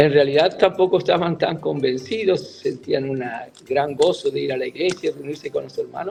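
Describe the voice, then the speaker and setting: Music is playing behind the voice. A man talks over it at a moderate speed. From Argentina, Buenos Aires. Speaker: church leader, retired mission president. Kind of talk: interview testimony.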